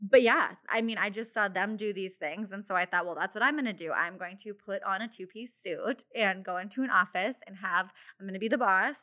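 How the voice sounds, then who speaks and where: A medium-pitched woman with an American accent, bright, sharp tone, ordinary pitch variation and fairly quick pace. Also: big swings in loudness. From South Dakota, US Midwest. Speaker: photographer and business owner. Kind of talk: interview.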